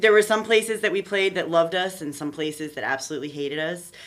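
A woman talks with a plain, everyday voice. Her pitch sits fairly low, and her intonation is lively. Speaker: trombonist in a ska band. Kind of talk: casual chat.

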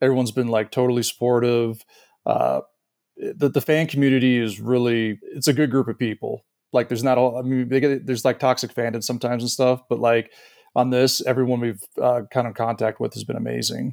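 This man talks at a fairly quick pace in a medium pitch, his intonation flat and monotone, and the sound is dry and close with no echo. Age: 40s. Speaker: documentary director. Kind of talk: interview.

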